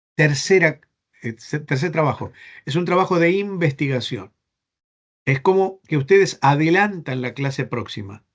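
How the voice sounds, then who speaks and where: A man speaks at a fairly slow pace in an Argentine accent. His pitch sits fairly high, and his intonation is lively. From Spain. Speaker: bible seminary professor. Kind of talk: online class lecture. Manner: halting, repeats words.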